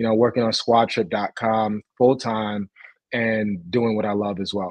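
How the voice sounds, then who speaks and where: Against a quiet background, a man speaks with a New York accent in a dry sound with no echo. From Brooklyn, New York. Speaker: tech founder; guest. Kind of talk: interview. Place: home room. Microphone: video call.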